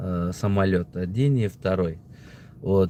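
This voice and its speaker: A very slow pace with a Tajikistan accent. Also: man. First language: Tajik (speaking Russian). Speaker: political video blogger. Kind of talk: casual opinion monologue. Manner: halting, many fillers.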